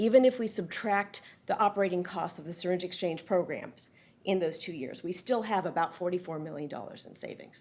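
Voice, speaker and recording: A woman talks at a fairly quick pace and a medium pitch. Her pitch varies in an ordinary way. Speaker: public health researcher. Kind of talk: conference presentation. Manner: fast.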